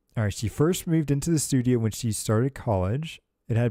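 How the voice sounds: Heard against a quiet background, the speaker uses a natural reading voice.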